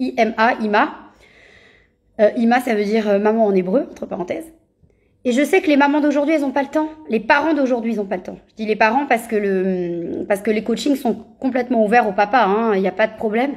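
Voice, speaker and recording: Fairly quick in pace, a woman talks at a fairly high pitch with ordinary pitch variation. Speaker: parenting coach. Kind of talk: Instagram live talk. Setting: Instagram live video. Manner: fast; hesitant, many fillers.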